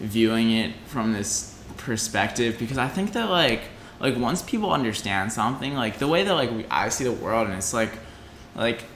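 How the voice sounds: Lively intonation from a man with a fairly bright tone, plus audible room echo. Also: medium pitch for a man, moderate pace.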